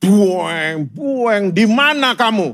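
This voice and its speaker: A put-on character voice at a fairly high pitch. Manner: monster-like, menacing.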